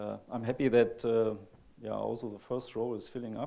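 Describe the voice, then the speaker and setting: In a German accent, a man speaks at medium pitch and a moderate pace. His tone is dark and mellow. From Germany. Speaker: computer graphics researcher. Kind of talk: conference talk. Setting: stage with audience. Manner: halting.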